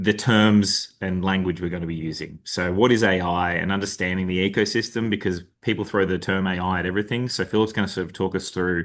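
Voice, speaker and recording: A man with an Australian accent speaks at a very deep, low pitch and a fairly quick pace. He leaves hardly any pauses against a quiet background. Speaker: delivery lead at consulting firm. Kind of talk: webinar presentation. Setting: video call webinar.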